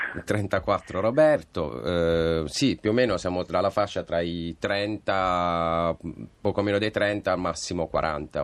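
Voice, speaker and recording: A man talks at a very slow pace. His voice is very deep and low, with ordinary pitch variation. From Bari, Apulia, southern Italy. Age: 40s. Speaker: film producer. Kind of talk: radio interview. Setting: studio.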